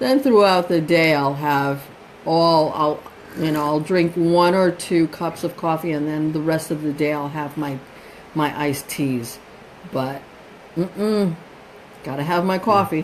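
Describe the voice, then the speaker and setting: Speaking fairly slowly with long, frequent pauses, a woman with a very deep, low voice and a New York accent uses ordinary pitch variation over noticeable background noise. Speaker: host's mother. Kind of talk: live stream chat. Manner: animated.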